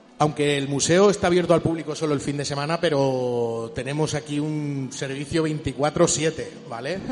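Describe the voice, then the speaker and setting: At a moderate pace with hardly any pauses, the speech has fairly even intonation against noticeable background noise. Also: man, fairly high pitch for a man. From Chile. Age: 40s. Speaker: museum curator. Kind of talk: casual chat. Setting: arcade museum.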